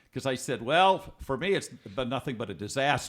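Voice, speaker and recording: Using an American accent with vocal fry, a man speaks at a medium pitch and a fairly quick pace, with very wide pitch swings, in a very clean recording with a silent background. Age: 70s. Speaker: author. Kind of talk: podcast interview.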